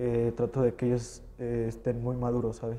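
Monotone, flat intonation carries a dark, mellow tone at a moderate pace. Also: man. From Mexico, San Luis Potosí. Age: young. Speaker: professional wrestler. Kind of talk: interview.

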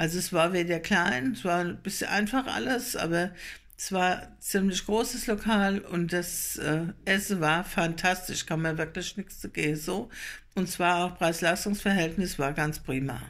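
Her pitch is fairly low, with ordinary variation. The woman talks at a fairly slow pace. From Germany, Lohrheim area (Rhein-Lahn, Nassau); Germany. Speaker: vlogger; dialect vlogger. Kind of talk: casual travel vlog. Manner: hesitant with fillers. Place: home room. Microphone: phone near.

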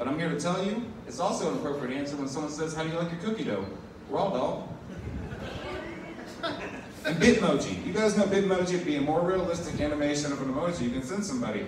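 A man talks at a very fast pace, with noticeable background noise and audible room echo. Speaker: stand-up comedian. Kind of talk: stand-up comedy set. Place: bar.

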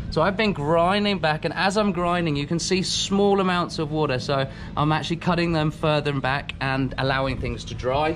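A man talks fairly quickly while noticeable noise carries on behind him. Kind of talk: casual vlog chat. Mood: frustrated about trailer. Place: garage. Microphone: phone near.

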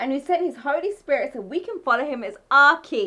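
With a fairly bright tone, a woman speaks at a high pitch and a moderate pace.

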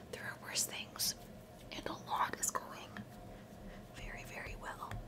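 Whispering, a woman speaks at a fairly slow pace. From Canada. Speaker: content creator, recruiter. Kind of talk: ASMR-style whispered ramble to camera, bedtime skincare routine. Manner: soft, chatty, friendly. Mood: calm, slightly reflective. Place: home room. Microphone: studio mic.

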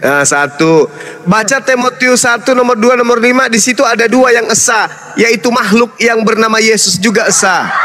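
Amid noticeable background noise, a man with an extremely high pitch projects his voice in an animated tone. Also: ordinary pitch variation, moderate pace. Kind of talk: interfaith debate. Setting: online live stream.

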